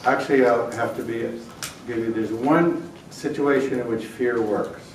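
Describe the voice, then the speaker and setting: A man with an American accent and fairly even intonation, plus noticeable background noise and audible room echo. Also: medium pitch for a man, moderate pace. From New York. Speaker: prevention expert speaker. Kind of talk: conference lecture. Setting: conference hall with audience.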